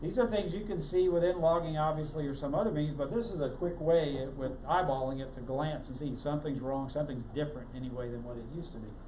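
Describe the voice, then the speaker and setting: Audible room echo follows a man who speaks fairly quickly, his fairly high voice showing ordinary pitch variation. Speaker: tech meetup presenter. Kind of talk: technical presentation. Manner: fast.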